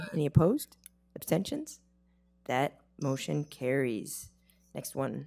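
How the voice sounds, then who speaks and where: A woman speaks at a fairly slow pace with long, frequent pauses. Music plays in the background. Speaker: board chair. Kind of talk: formal meeting proceedings.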